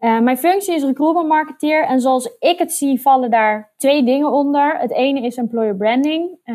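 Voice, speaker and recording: A woman's dark, mellow voice, high-pitched with ordinary pitch variation, at a moderate pace with hardly any pauses. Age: 30s. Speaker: recruitment marketer. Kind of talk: interview.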